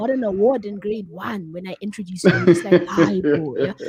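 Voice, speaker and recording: With noticeable background noise behind her, a woman speaks at a fairly quick pace and medium pitch, with ordinary pitch variation, big swings in loudness and a warm, enthusiastic tone. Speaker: radio show host. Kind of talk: radio interview host, casual conversational. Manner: warm, enthusiastic, chatty.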